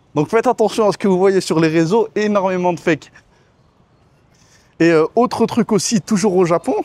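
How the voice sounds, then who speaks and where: A man with a high pitch talks at a moderate pace, with ordinary pitch variation, very even loudness, and long, frequent pauses. The sound is dry and close, with no echo. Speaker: expat vlogger. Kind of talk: casual vlog monologue. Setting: outdoors by a swimming pool. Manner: casual, hesitant with fillers.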